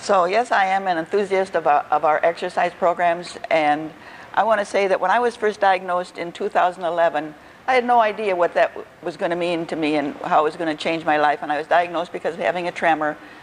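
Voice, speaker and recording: A woman talks at a very fast pace with a fairly low pitch and ordinary pitch variation. Noticeable background noise sits behind her. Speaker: volunteer exercise leader with Parkinson's. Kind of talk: public talk to an audience. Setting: event hall with audience, on a microphone. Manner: loud.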